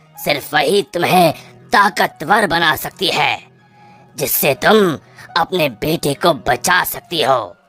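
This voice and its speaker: A raspy, cartoonish character voice at middle pitch speaks at a very slow pace over faint music in the background. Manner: solemn, measured.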